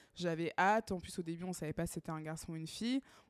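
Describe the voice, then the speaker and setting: Her pitch fairly low and her intonation fairly even, a woman talks in a plain, everyday voice. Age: 30s. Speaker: podcast co-host. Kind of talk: casual chat.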